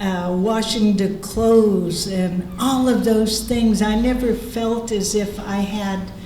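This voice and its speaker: Noticeable background noise and audible room echo surround the speaker. A woman talks very slowly with fairly even intonation. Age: 70s. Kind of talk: panel discussion.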